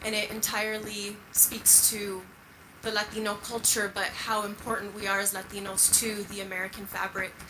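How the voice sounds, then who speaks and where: A woman's medium-pitched, monotone, flat delivery at a moderate pace, with audible room echo and noticeable background noise. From United States, moved from Mexico at four. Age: 30s. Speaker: audience member asking a question. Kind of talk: audience question. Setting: theater with audience. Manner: hesitant, many fillers.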